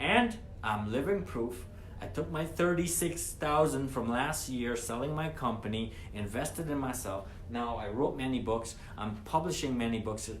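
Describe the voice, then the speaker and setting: A man speaks with lively intonation and an animated tone. Noticeable background noise and audible room echo fill the recording. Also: medium pitch for a man, moderate pace. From Guyana. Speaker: former trucking company owner, entrepreneur. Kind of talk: motivational monologue. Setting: live stream. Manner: animated, repetitive.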